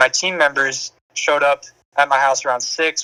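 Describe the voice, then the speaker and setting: A man with an American accent speaks at a fairly quick pace in a fairly high, bright, sharp voice. The sound is dry and close, with no echo. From Minnesota. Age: 18. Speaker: young entrepreneur. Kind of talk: podcast interview.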